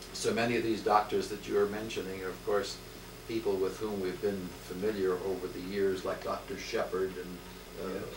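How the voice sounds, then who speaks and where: Noticeable noise sits in the background. The speech moves at a moderate pace. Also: man. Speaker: interviewer. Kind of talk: polite oral history interview. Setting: home interview. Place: home room. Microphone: old recording.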